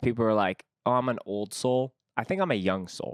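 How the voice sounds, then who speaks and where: In an ordinary speaking voice, a man talks at a fairly quick pace and medium pitch with ordinary pitch variation, in a dry, close sound with no echo. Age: 30s. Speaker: podcast host. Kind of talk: casual chat.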